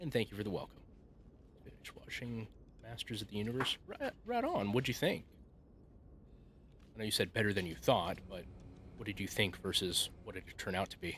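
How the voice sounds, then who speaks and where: Quiet and fairly quick, a man speaks with ordinary pitch variation, big swings in loudness, and long, frequent pauses. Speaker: gaming streamer. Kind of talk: casual live stream chat.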